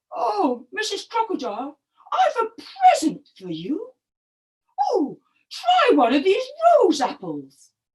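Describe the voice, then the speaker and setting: A squeaky, put-on character voice at an extremely high pitch moves at a fairly slow pace with long, frequent pauses. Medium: read story. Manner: slow, appreciative.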